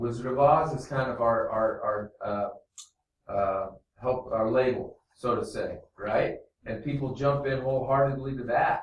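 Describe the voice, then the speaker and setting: The room echo is audible. A man with an American accent speaks at a fairly slow pace. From small town US Midwest. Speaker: teacher. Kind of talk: classroom lesson. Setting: classroom. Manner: loud; animated.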